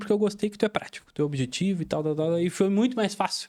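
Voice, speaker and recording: A man speaks in a Rio Grande do Sul accent. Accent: gaúcho accent from Rio Grande do Sul. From Rio Grande do Sul, Brazil (Pelotas). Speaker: business mentor. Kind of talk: casual chat.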